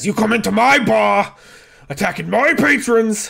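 A man puts on a gruff character voice pitched high. He speaks at a moderate pace. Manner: angry, gruff.

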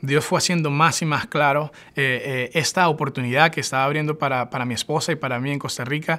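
A man speaks at a very fast pace. His tone is bright and sharp, his pitch fairly high. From Venezuela, Barquisimeto; Venezuela. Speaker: church worker; interviewee. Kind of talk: personal testimony. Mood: warm, enthusiastic. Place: home room.

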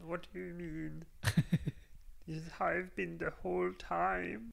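A put-on, croaky character voice with a German accent speaks in a playful tone at a fairly slow pace. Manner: playful impression.

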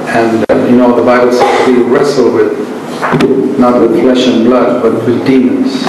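The voice moves at a moderate pace in a monotone, flat intonation, with strong room echo and noticeable background noise. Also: man. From India. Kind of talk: sermon. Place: hall.

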